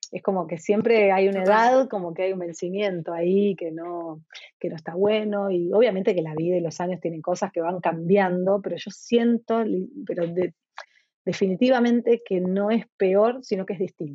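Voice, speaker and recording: A woman speaks in an ordinary speaking voice at medium pitch. Her pace is moderate, with ordinary pitch variation. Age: 50s. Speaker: entrepreneur and author. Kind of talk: interview conversation.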